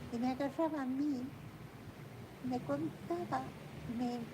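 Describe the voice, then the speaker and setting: Noticeable background noise sits behind a woman's high voice. She speaks at a very slow pace. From Argentina. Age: 80s+. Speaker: painter telling family history. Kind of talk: casual storytelling conversation.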